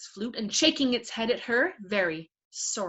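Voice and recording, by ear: Reading aloud in a natural voice with ordinary pitch variation against a quiet background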